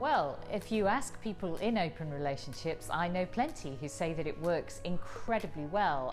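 A woman speaks at a moderate pace with a very deep, low voice. Clear music plays in the background. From England. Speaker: comedian, writer and broadcaster. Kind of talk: interview answer. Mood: thoughtful, friendly. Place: hall.

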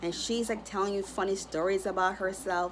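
Over light background noise, a woman speaks at a fairly quick pace. Her intonation is monotone and flat. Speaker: astrology content creator. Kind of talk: casual vlog chat. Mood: cheerful, smiling. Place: home room. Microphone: phone near.

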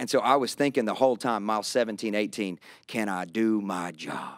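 Against a quiet background and with a dry sound with no echo, a man speaks in an animated tone at a fairly low pitch with ordinary pitch variation. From Kentucky, US South. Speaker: pastor. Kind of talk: casual conversational interview. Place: studio. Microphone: studio mic.

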